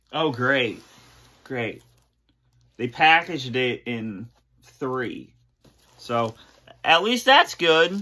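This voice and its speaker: A man speaks very slowly, leaving long, frequent pauses. His tone is bright and sharp, with lively intonation. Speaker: YouTuber doing unboxings. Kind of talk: casual unboxing vlog; casual vlog chat. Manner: repetitive, stammering. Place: home room. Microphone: phone near.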